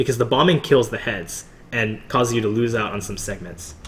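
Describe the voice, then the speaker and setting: At a fairly quick pace, a man speaks with lively intonation and a medium pitch. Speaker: gamer giving commentary on own run. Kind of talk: gameplay commentary. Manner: fast; casual with many fillers.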